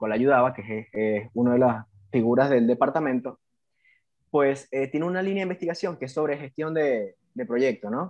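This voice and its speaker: This man speaks with a Venezuelan accent at a moderate pace. His pitch sits in the medium range. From Venezuela, Puerto Ordaz (Bolívar state). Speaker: civil engineer, BIM specialist. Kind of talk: casual interview.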